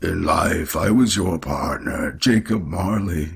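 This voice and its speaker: In a put-on character voice, a man sounds raspy with a fairly low pitch. He speaks fairly slowly. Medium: read story. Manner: solemn, mournful.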